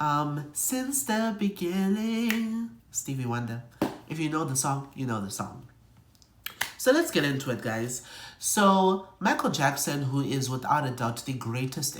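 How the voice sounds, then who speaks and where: Noticeable noise in the background, and delivery at a fairly slow pace. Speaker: YouTuber. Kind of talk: casual vlog commentary.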